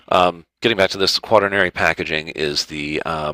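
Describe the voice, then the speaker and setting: With an American accent, a man talks at a fairly quick pace in a very deep, low voice, his tone bright and sharp, his pitch varying in an ordinary way, the sound dry and close with no echo. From US South, Georgia (Marietta). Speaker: food product consultant. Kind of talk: online presentation. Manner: fast.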